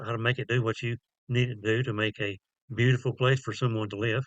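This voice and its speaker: A man speaks fairly quickly at medium pitch, his intonation monotone and flat. The sound is dry and close with no echo, over a quiet background. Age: 70s. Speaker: YouTuber. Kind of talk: casual vlog talk.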